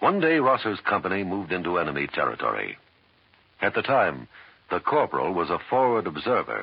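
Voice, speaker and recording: Speaking at a fairly quick pace, a man with a very deep, low pitch uses vocal fry and very wide pitch swings. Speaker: announcer. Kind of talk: scripted narration, formal tribute. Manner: formal, solemn.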